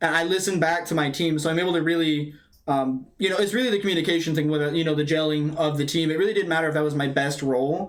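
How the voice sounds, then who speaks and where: With a fairly high pitch, a man talks at a very fast pace with fairly even intonation and hardly any pauses, and audible room echo surrounds him. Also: very even loudness. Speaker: college esports player. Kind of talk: post-match interview. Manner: loud.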